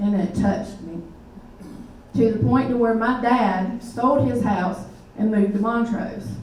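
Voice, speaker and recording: In a Southern US accent, a woman with a fairly high pitch speaks at a fairly slow pace with ordinary pitch variation and long, frequent pauses, amid noticeable background noise and audible room echo. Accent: Southern US (Georgia). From US South, Middle Georgia. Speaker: army veteran, nonprofit director. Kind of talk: public talk. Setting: meeting hall with audience.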